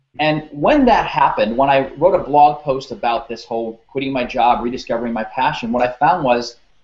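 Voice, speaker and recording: A man at a fairly high pitch and moderate pace, with audible room echo. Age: 30s. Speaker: career coach. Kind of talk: interview. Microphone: webcam.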